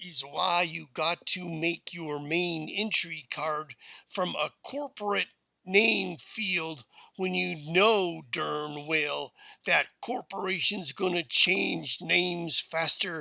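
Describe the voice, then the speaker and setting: This put-on character voice is raspy and drawling at a middle pitch. It moves at a very slow pace. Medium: read story. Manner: folksy drawl.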